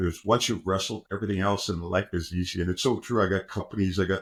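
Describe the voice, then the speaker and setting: At a very fast pace, a man with a Canadian accent speaks in a very deep, low pitch on a very clean recording with a silent background. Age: 60s. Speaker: former Olympic wrestler and pro football player. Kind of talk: podcast interview. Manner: animated.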